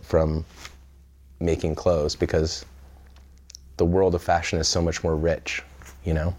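With a Californian accent, a man speaks in a very deep, low pitch and a monotone, flat intonation. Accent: Californian American. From central California. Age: 30s. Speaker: fashion designer. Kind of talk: interview. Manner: hesitant, many fillers.

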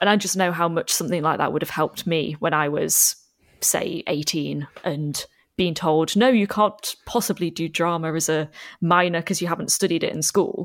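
With an ordinary speaking voice, a woman talks at a moderate pace in a fairly low pitch, her intonation fairly even, on a very clean recording with a silent background. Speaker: actor and podcaster. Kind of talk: casual chat.

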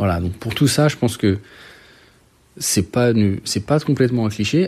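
This man's voice has a dark, mellow tone. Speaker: French expat parent. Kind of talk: recorded voice message. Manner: halting.

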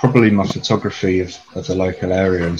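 Over noticeable background noise, a man with a London accent talks at a fairly quick pace in a very deep, low pitch. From North London, England. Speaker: photographer and mental health care worker. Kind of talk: casual interview. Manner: hesitant, many fillers.

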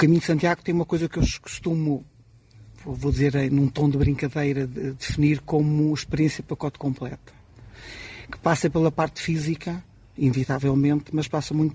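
His voice has a fairly high pitch and a dark, mellow tone. The man sounds somewhat breathy. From Portugal, Marinha Grande. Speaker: experienced pilgrim. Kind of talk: live radio interview.

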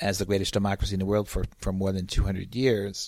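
The speaker is a man with a fairly low pitch. The recording is very clean, with a silent background. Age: 60s. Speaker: media critic and academic. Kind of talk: interview.

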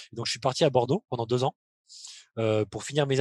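Ordinary pitch variation is heard against a quiet background. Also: man. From France, Limoges. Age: 30s. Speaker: professional basketball player. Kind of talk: interview. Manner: hesitant, many fillers.

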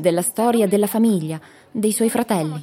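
Speaking fairly quickly, a woman is heard over noticeable background noise. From France, Nanterre banlieue. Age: young. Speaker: student. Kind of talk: interview testimony.

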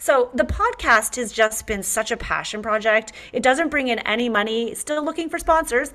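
A woman with a Canadian accent speaks at a moderate pace in a high voice, with hardly any pauses. Noticeable background noise runs behind her. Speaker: interior designer and podcaster. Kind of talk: casual interview chat. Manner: upbeat, enthusiastic.

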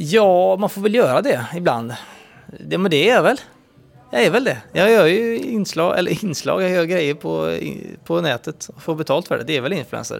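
A man's high voice at a moderate pace, with very wide pitch swings and music in the background. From western Sweden, Uddevalla. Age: 30s. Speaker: TV presenter and YouTuber. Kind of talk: casual interview.

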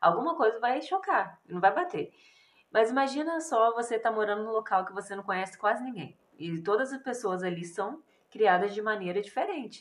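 With an ordinary speaking voice, a woman talks at a fairly quick pace in a fairly high pitch, her intonation lively and her loudness swinging widely. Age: 20s. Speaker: missionary. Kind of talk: interview.

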